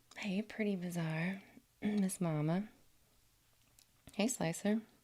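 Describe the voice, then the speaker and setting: This woman's voice is medium in pitch, dark and mellow in tone, somewhat breathy, with fairly even intonation at a very slow pace. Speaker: livestreamer. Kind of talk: casual chat. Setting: livestream.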